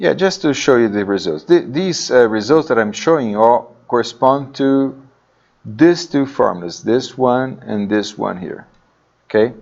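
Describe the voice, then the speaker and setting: In an unremarkable speaking voice, a man talks at a fairly slow pace with a medium pitch and lively intonation. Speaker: university lecturer. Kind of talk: lecture.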